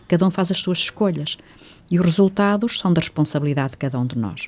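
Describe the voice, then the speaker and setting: The woman's pitch moves in an ordinary way, her tone dark and mellow. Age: 80s+. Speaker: reiki teacher. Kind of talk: radio interview.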